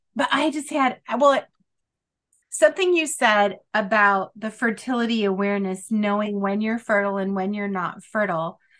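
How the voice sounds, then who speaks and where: A woman is speaking at a moderate pace. Her fairly high pitch varies in an ordinary way. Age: 50s. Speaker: podcast host. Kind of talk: casual interview chat. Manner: energetic.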